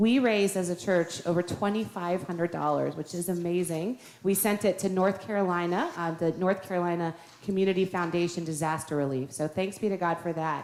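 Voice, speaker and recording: At a fairly quick pace, a woman talks with fairly even intonation and a fairly low pitch. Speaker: pastor. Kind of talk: church announcements. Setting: church. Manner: fast.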